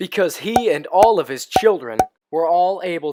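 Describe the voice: A quiet background behind plain reading aloud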